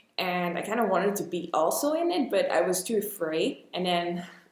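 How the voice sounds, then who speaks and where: Speaking at a moderate pace with lively intonation and medium pitch, a woman is heard with audible room echo and noticeable background noise. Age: 20s. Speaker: actress. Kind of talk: podcast interview.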